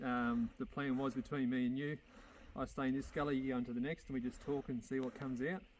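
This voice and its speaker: Medium-pitched male speech with an Australian accent. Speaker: hunter. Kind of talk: casual chat. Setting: outdoors. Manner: animated.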